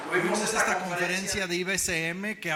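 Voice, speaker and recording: Over noticeable background noise, a man speaks at a moderate pace in a high voice. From Mexico. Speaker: preacher. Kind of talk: sermon. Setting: church.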